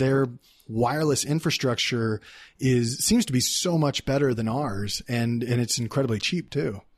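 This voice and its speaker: A man with a Texan accent, at a moderate pace and with ordinary pitch variation. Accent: Texan American English. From Texas, Dallas. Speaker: entrepreneur. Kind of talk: casual interview. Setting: in person.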